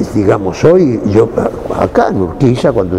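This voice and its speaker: A man with a Rioplatense accent speaks at a fairly low pitch over noticeable background noise. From Buenos Aires, Argentina. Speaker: actor. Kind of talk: interview. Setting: cultural center.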